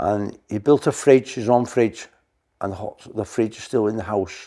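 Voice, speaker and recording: A man with a North Welsh accent speaks at a moderate pace in a fairly low voice of dark, mellow tone with ordinary pitch variation, in a very clean recording with a silent background. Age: 70s. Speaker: museum owner and mechanic. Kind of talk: casual interview.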